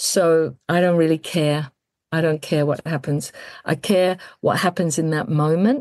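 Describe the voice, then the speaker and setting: Speech comes at a fairly slow pace with ordinary pitch variation and a dry, close sound with no echo. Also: woman. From England. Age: 60s. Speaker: death care worker and celebrant. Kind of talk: interview conversation.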